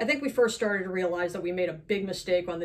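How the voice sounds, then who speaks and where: The speaker talks at a very fast pace with ordinary pitch variation, amid noticeable background noise. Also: woman. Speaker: horror author. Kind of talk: author reading of own short story. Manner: wry, humorous.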